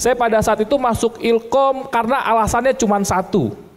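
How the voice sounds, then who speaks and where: A man is speaking. His voice is high-pitched. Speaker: insurance agency business founder. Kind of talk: seminar talk.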